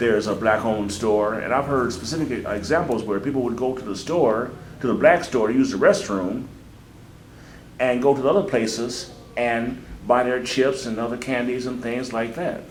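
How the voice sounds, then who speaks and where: A man with an unremarkable speaking voice and a medium pitch talks at a moderate pace, his pitch varying in an ordinary way. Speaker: interviewer. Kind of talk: interview questions.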